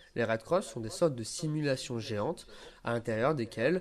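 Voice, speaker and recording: A man's lively intonation comes through at a moderate pace. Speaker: law student and volunteer. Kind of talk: pre-recorded scripted column. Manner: formal.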